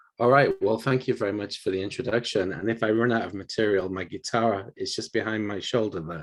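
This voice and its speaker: Speaking at a fairly quick pace with hardly any pauses, a man with a northern English accent has fairly low pitch and ordinary pitch variation. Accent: British, north of England. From northern England, Bolton near Manchester. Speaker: university professor. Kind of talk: lecture.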